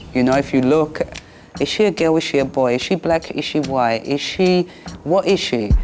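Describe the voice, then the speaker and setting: A woman with a London accent speaks in a very deep, low pitch at a moderate pace. Her loudness stays very even, with noticeable background noise behind her. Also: ordinary pitch variation. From London, Peckham. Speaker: former boxer. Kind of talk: documentary interview.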